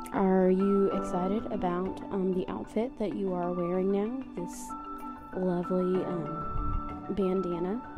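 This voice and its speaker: The speech is very slow. Clear music plays in the background. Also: woman. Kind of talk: playful mock interview. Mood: playful, affectionate. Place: home room. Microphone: handheld.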